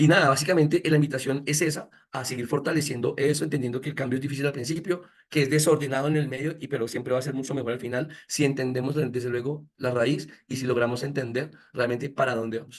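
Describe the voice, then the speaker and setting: Fairly high in pitch for a man, this man talks at a very fast pace with fairly even intonation. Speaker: education speaker. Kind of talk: lecture.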